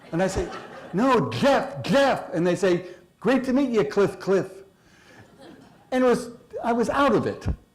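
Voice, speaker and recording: A man's high-pitched, fairly slow speech with long, frequent pauses, lively intonation and very even loudness, plus noticeable background noise and audible room echo. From San Francisco. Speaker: speaker.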